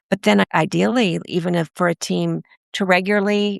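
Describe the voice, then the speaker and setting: Recorded dry and close with no echo, a woman speaks in an unremarkable speaking voice at a fairly low pitch and a moderate pace. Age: 60s. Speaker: strengths coach. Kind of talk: podcast interview.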